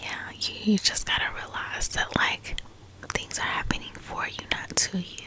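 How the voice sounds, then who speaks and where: Noticeable background noise is audible. Under it, a woman whispers at a moderate pace. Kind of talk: ASMR whisper talk about healing and growth, casual personal chat. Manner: whispered, soft, calming.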